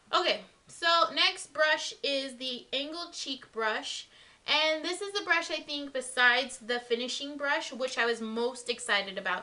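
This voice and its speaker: Against noticeable background noise, a woman speaks fairly slowly in a high, raised, projected voice with lively intonation. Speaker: beauty vlogger. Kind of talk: product review. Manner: casual, filler-heavy.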